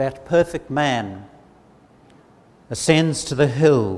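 A man speaks at a very slow pace with lively intonation. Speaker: preacher. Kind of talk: sermon. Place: church. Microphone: lapel.

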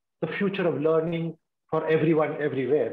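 A man speaks. The room echo is audible. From India, Kerala (Kochi). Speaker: retired senior civil servant, keynote speaker; keynote speaker. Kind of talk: keynote talk. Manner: halting. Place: home room. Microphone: video call.

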